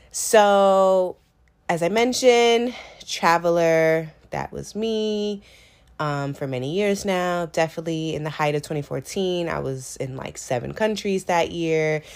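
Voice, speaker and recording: A woman speaks at a fairly slow pace in an American accent, her pitch fairly low. Her tone is animated and her intonation lively, on a very clean recording with a silent background. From US West Coast, San Francisco Bay Area. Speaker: podcast host. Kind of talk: casual solo podcast monologue.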